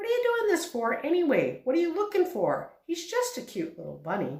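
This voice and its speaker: Putting on a squeaky character voice at an extremely high pitch, a woman talks at a fairly quick pace with a slight echo. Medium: read story. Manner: earnest, plain-spoken.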